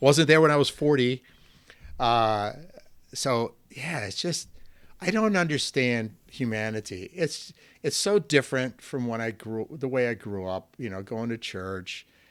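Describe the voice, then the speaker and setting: In a very clean recording with a silent background, a man speaks fairly slowly with an American accent. His medium-pitched voice swings widely in loudness. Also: lively intonation. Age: 60s. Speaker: soccer coach and author. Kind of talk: casual chat. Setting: podcast interview. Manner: animated.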